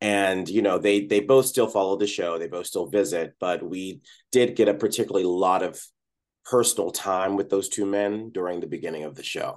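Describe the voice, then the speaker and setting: A man with an ordinary speaking voice, fairly low in pitch, at a moderate pace, with ordinary pitch variation and big swings in loudness. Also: quiet background. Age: 40s. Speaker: Broadway actor. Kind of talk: interview.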